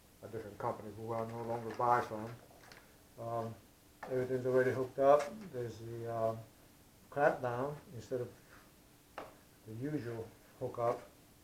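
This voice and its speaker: A man talks in a medium pitch with monotone, flat intonation at a moderate pace. He leaves long, frequent pauses, and background noise is noticeable. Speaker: aerospace worker, RC plane hobbyist. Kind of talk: casual unboxing talk to camera.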